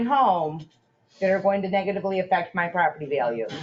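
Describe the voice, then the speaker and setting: A loud woman's voice at medium pitch, with very wide pitch swings. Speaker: resident making public comment. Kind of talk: public comment at town meeting. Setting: town council meeting room.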